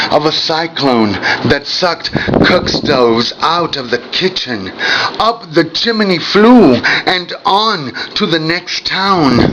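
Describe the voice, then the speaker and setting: Over noticeable background noise, a man with a high pitch talks at a very slow pace with very wide pitch swings. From Mexico. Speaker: poet. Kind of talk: poetry reading.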